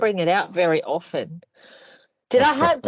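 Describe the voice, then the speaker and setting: A woman with an Australian accent, fairly high-pitched, swinging very widely in pitch at a moderate pace. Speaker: reads excerpts of prose aloud. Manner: reading aloud in a put-on professional voice.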